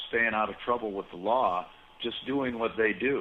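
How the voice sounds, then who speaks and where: A man with an ordinary speaking voice talks at a medium pitch and a fairly quick pace. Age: 60s. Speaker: cannabis seed breeder. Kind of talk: casual interview.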